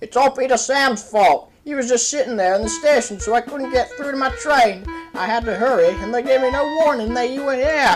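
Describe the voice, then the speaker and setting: A female-sounding voice does a put-on character voice at a fairly high pitch and fairly quick pace, with faint music in the background. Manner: prim, self-justifying.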